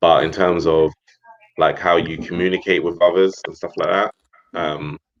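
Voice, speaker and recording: A man with a London accent talks at a moderate pace. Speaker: expat guest. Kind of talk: casual chat.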